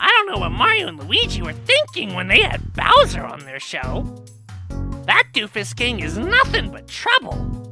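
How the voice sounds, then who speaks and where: A put-on character voice speaks at a moderate pace. Music plays clearly in the background. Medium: audio drama. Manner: excitable.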